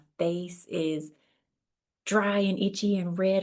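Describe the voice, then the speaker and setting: The speaker uses fairly even intonation with a Southern US accent. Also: woman. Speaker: podcast host. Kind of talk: podcast interview. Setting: audio-only podcast.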